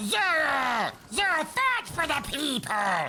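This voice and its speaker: A put-on character voice, high-pitched with very wide pitch swings, moves at a very slow pace. Clear background noise runs underneath. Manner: silly, theatrical.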